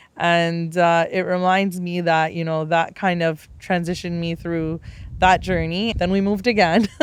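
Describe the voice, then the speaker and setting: A woman with a Canadian accent, fairly low in pitch, at a moderate pace with monotone, flat intonation. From Canada (Tamil family, arrived age six). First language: Tamil. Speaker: podcast host. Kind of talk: personal storytelling monologue.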